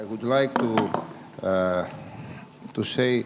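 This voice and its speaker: Someone with a Greek accent speaks at a very slow pace over noticeable background noise. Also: man. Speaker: regional governor. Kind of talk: panel opening remarks.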